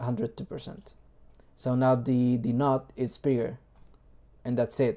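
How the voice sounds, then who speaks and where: Fairly slow speech in a non-native accent, broken by long, frequent pauses. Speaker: 3D printing hobbyist, video maker. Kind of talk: tutorial. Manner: hesitant, many fillers.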